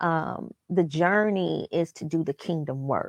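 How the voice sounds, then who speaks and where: A woman speaks at a very slow pace in a dry, close sound with no echo against a quiet background. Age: 30s. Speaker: business owner and mother. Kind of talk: casual interview chat. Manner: animated.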